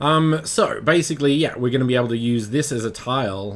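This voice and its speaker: A man talks with an Australian accent. His intonation is lively. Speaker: 3D modelling instructor, livestreamer. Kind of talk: live-streamed tutorial. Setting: live stream. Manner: halting, many fillers.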